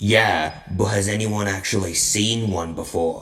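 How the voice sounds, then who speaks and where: A man puts on a character voice, speaking at a fairly slow pace and a fairly low pitch. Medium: audio drama. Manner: blunt, sardonic.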